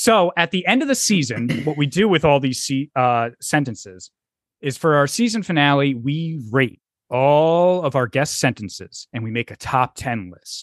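A man with a fairly high voice speaks at a moderate pace, his pitch swinging very widely. The sound is dry and close with no echo over a quiet background. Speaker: podcast host. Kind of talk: casual comedy podcast chat. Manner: profane, jokey.

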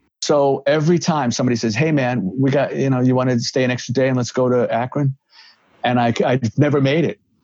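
Very fast speech in a New York accent at a very even loudness. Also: man, medium pitch for a man, fairly even intonation. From New York (Bronx). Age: 60s. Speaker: rock guitarist and recovery counselor. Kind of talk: casual interview chat.

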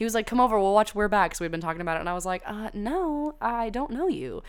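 With a Southern US accent, a woman speaks fairly quickly in an animated tone, her fairly high pitch making very wide swings. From US South. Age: 20s. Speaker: podcast host. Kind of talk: casual solo chat.

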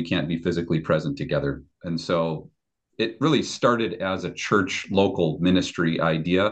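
A man speaks at a moderate pace. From Chicago area, US Midwest. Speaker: pastor. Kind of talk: casual chat.

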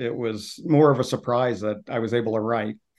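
A man's medium-pitched voice, fairly even in intonation, at a moderate pace. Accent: New York. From New York. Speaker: author and sales consultant. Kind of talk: interview.

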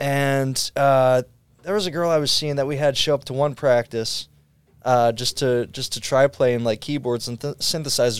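In a normal speaking voice, a man talks at a medium pitch and moderate pace with fairly even intonation, on a very clean recording with a silent background. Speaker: guitarist. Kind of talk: casual interview.

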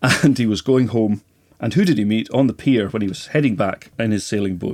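This man talks fairly quickly. His voice is fairly low, and its pitch varies in an ordinary way. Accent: Highland Scottish. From Scottish Highlands and Islands (Lewis, then Skye). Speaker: Gaelic lecturer and bookseller. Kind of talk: casual interview chat. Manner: halting.

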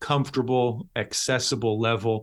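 On a very clean recording with a silent background, a man with an unremarkable speaking voice and a Canadian accent talks at a moderate pace, medium in pitch with fairly even intonation. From Canada, Toronto, Ontario. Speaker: pastor and theology professor. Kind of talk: interview.

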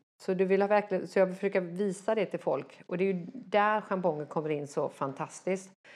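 Against a quiet background, a woman with an ordinary speaking voice talks at a fairly quick pace and medium pitch, with ordinary pitch variation and hardly any pauses. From Sweden. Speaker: dressage rider and trainer. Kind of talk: interview.

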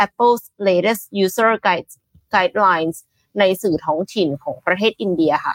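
A woman with a plain, everyday voice speaks at a medium pitch with ordinary pitch variation. Her loudness is very even, and the sound is dry and close with no echo. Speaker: news show co-host. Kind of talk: morning news talk show.

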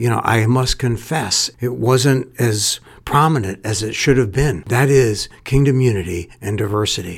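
Speaking at a moderate pace with ordinary pitch variation, a man uses a plain, everyday voice. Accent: American. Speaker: school head and podcast host. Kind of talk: podcast interview, scripted-sounding intro.

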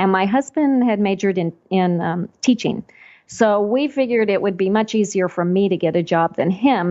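In a normal speaking voice, a woman with an American accent talks at a moderate pace, her medium pitch showing ordinary variation. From Texas, Panhandle. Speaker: quilt pattern designer and business owner. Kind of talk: interview.

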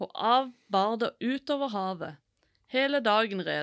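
Over a quiet background, plain reading aloud with ordinary pitch variation.

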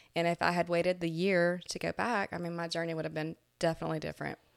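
Against a silent background in a very clean recording, a woman speaks at a very fast pace with a fairly low pitch. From Florida. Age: 40s. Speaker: dental hygienist and cancer survivor. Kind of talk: interview testimony.

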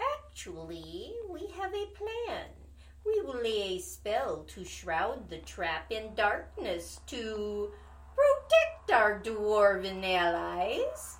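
A put-on character voice, female-sounding and at a very slow pace, over light background noise. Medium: audio drama. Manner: cold, calculating.

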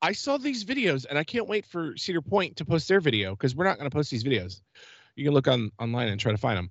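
Animated and enthusiastic, a man speaks at a very fast pace with a fairly high pitch, very wide pitch swings and vocal fry. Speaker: podcast host. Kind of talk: casual chat, podcast. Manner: animated, fast, enthusiastic.

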